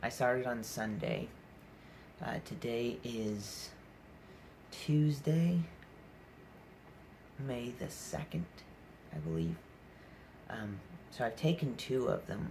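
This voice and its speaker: Very slow, somewhat breathy speech from a man at medium pitch, with very wide pitch swings and long, frequent pauses. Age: 20s. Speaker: vlogger talking about mental health. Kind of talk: personal vlog monologue. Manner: halting, many fillers.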